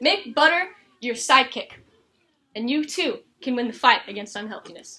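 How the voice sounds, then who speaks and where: A woman uses a raised, projected voice at a high pitch, with a bright, sharp tone. Her intonation is lively, her loudness swings widely, and her pace is moderate. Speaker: college student. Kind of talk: persuasive speech; classroom Q&A. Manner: animated.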